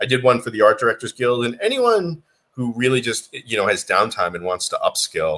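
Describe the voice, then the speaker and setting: This man talks fairly quickly, with an American accent. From US Northeast, Boston. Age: 40s. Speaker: digital artist. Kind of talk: casual chat.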